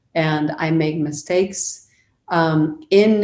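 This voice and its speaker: A woman speaks in a dark, mellow tone, with audible echo from the room. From Argentina. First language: Spanish. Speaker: media professional. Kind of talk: interview conversation.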